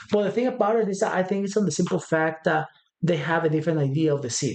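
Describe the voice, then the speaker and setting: With a non-native accent, a man speaks at a very fast pace in a high pitch with ordinary pitch variation. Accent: foreign accent kept on purpose. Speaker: podcast co-host. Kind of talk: casual chat.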